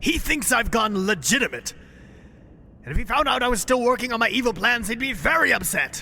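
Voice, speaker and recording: A man's put-on character voice, raised and projected at an extremely high pitch, at a moderate pace over clear background noise. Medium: audio drama.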